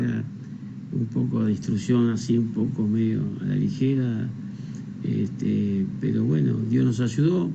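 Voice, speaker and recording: This man's delivery is fairly slow. The volume hardly shifts at all. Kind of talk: interview answer.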